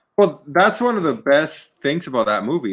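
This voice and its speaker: The voice has a bright, sharp tone with very wide pitch swings. It carries a slight Spanish accent. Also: man. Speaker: podcast co-host. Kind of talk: casual chat.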